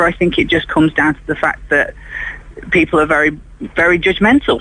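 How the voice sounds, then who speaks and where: With an English accent, a man speaks at a high pitch with ordinary pitch variation. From England, Derbyshire. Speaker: caller. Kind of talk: phone conversation. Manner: halting.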